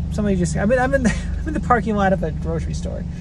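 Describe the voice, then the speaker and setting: A woman speaks in a dry, echo-free recording with noticeable background noise. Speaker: drink reviewer vlogger. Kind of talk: casual vlog chat. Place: car. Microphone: phone near.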